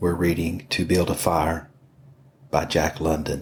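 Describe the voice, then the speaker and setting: Speaking at a very slow pace, a man with a very deep, low pitch sounds somewhat breathy and keeps a fairly even intonation. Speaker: podcast host, reader. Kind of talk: podcast intro.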